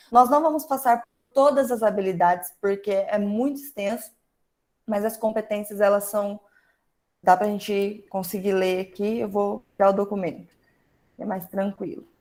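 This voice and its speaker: A woman talks at a moderate pace with long, frequent pauses. Her medium pitch shows ordinary variation. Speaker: teacher leading an online workshop. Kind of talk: online workshop lecture.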